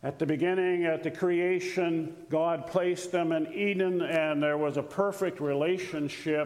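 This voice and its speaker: A man speaks at a high pitch and a fairly slow pace, his loudness very even and his intonation flat and monotone. He hardly pauses, and noticeable background noise sits behind him. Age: old. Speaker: retired missionary. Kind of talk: sermon. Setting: church.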